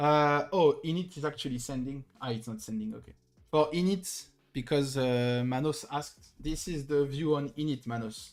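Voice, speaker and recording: In a French accent, a man with a fairly high pitch speaks at a moderate pace on a very clean recording with a silent background. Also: ordinary pitch variation. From southern France. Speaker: crypto trader streamer. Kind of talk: live stream chart analysis. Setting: live stream.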